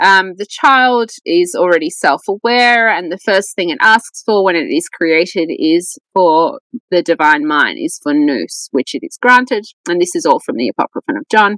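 Recorded with a dry sound, no echo and a quiet background, a woman with an Australian accent speaks at a moderate pace with very wide pitch swings. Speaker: scholar of Gnosticism; podcast guest. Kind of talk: podcast interview. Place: home room. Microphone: earbuds.

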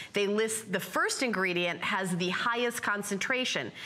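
Using an animated tone, a woman speaks at a moderate pace with ordinary pitch variation. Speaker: shopping channel host. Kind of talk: sales pitch. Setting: studio. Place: studio. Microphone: lapel.

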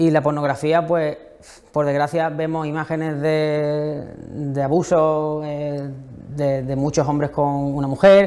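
At a very slow pace, a man with a fairly high pitch and a dark, mellow tone talks in a flat monotone. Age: young. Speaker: novelist; guest. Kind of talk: interview. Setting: museum library. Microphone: lapel.

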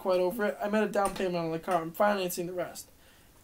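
The speaker reads in a natural reading voice, keeping the intonation fairly even.

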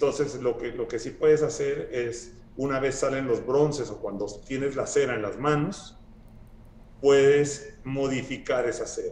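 Speech unfolds at a fairly slow pace. Room echo is audible. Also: man. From Guatemala. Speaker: sculptor; guest. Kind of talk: casual interview conversation. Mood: relaxed, thoughtful. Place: home room. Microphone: video call.

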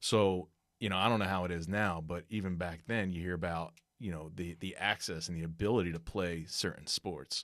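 A man with an American accent and a very deep, low pitch speaks at a fairly quick pace with fairly even intonation. The sound is dry with no echo, and the background is quiet. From Trenton, New Jersey; New Jersey. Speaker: podcast co-host, sports business marketer; podcast co-host. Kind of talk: casual chat. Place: studio. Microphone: studio mic.

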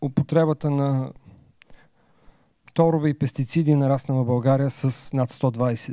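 The man's voice has a dark, mellow tone and monotone, flat intonation at a fairly slow pace. The sound is dry with no echo, and the background is quiet. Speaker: presenter. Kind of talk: lecture. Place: hall. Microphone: handheld.

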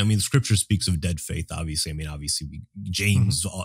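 A somewhat breathy man on a very clean recording with a silent background. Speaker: podcast co-host. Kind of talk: casual theological conversation.

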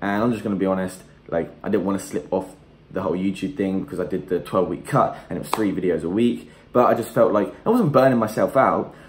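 The speaker is a man. His pitch sits fairly low. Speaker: fitness vlogger, personal trainer. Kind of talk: casual vlog to camera. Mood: upbeat, candid. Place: kitchen. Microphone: phone near.

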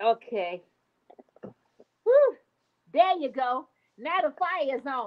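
The speaker is a woman. The background is quiet. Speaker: miniature cooking livestream host. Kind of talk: casual livestream chat. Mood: playful, laughing. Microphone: webcam.

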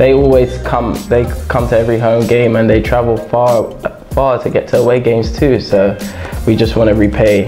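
Clear music can be heard behind the voice. The delivery keeps a moderate pace. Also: man. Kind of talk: interview answer. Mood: cheerful, smiling. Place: studio. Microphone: lapel.

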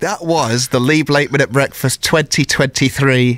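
A man at medium pitch talks at a very slow pace, in a dry sound with no echo. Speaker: breakfast radio presenter; radio presenter. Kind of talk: radio interview. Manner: jokey. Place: studio.

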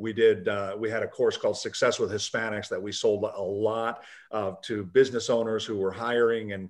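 A man with monotone, flat intonation at a moderate pace against a quiet background. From US, Puerto Rican father and Kentucky mother. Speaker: business founder, author and speaker; speaker. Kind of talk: video call interview. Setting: video call. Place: office. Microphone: video call.

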